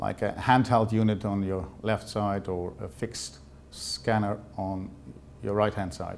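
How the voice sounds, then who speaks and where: A man speaks with a Dutch accent at a fairly slow pace. His voice is fairly low, with fairly even intonation. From Netherlands. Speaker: sales representative. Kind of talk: presentation. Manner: halting, many fillers.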